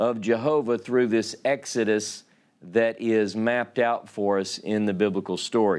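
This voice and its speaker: A man speaks at a medium pitch with a Louisiana accent. The recording is very clean, with a silent background. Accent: Louisiana southern. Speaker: Bible teacher. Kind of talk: sermon.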